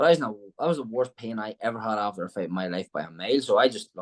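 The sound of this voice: Very fast, a man speaks at a fairly low pitch with ordinary pitch variation.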